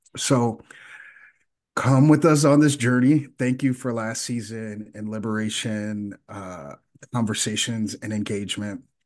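With a normal speaking voice, a man talks at a fairly slow pace in a fairly low pitch with ordinary pitch variation, against a quiet background. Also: big swings in loudness. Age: 40s. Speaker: podcast co-host. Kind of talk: casual chat.

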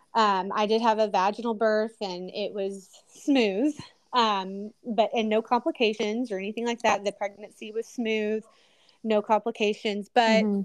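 A woman talks in an ordinary speaking voice at a moderate pace. Her pitch is fairly high and her intonation fairly even. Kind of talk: casual testimony chat.

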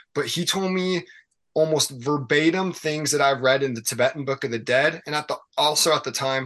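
Over a quiet background, a man with a fairly high pitch speaks in a normal speaking voice at a moderate pace, with ordinary pitch variation. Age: 20s. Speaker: podcast guest, aspiring union worker. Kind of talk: casual chat.

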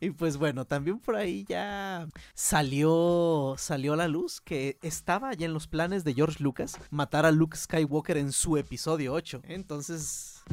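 Over a very clean recording with a silent background, a man speaks at a fairly high pitch and a fairly slow pace. He has ordinary pitch variation and hardly any pauses. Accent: Mexican. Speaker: podcast host. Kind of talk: casual chat.

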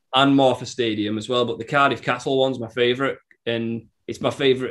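A man with a medium pitch speaks at a very fast pace in a monotone, flat intonation. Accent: Cumbrian. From northern England, Workington, Cumbria. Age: 20s. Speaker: musician. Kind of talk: casual chat.

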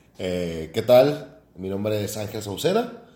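A man talks with lively intonation. Audible room echo and noticeable background noise surround him. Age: 20s. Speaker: podcast co-host, engineer. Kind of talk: casual chat.

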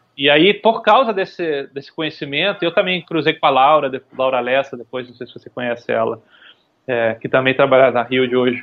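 Lively intonation and big swings in loudness mark this man's delivery. His pitch is fairly high and his pace fairly quick. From Brazil, Recife (Pernambuco). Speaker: UX design director. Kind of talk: podcast interview. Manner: halting, many fillers and repetitions.

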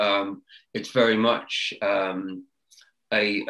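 A man with a southern English accent speaks in a fairly low voice with a bright, sharp tone. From UK. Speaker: sustainability business consultant. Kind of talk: interview. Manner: halting, many repetitions and fillers.

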